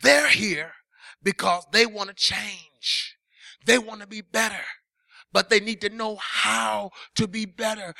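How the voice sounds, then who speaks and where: In a raised, projected voice, a high-pitched man speaks at a fairly slow pace with an animated tone. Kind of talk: sermon, preacher in full flow, with call-and-response energy. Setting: church. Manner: animated, forceful, building through repeated parallel phrases; stern, confrontational, hammering home blunt warnings.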